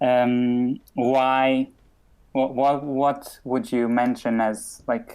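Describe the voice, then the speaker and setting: A man with a medium pitch speaks at a very slow pace with monotone, flat intonation and very even loudness. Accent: Portuguese. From Portugal. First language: Portuguese. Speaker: podcast host. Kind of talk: casual chat.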